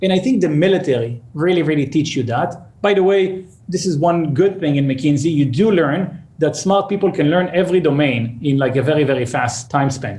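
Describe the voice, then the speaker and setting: A man's fairly high voice with very even loudness and ordinary pitch variation, amid audible room echo. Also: fairly quick pace. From Israel, suburb of Tel Aviv. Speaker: startup CEO. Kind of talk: interview.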